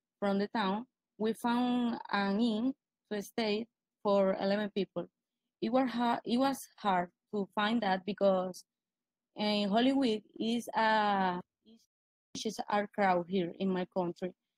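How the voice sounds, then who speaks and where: At a very slow pace, a woman talks with long, frequent pauses at medium pitch. Her intonation is fairly even, and the sound is dry and close with no echo. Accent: Spanish. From Venezuela. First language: Spanish. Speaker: blogger presenting a post. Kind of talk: casual presentation. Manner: halting.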